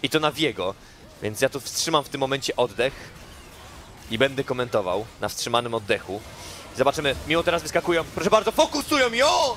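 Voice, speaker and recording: A very fast, playful, theatrical delivery against noticeable background noise. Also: man. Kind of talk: esports match commentary. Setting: broadcast stream commentary. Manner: loud, fast, excitable, shouting with rising hype; playful, theatrical, joking with co-caster.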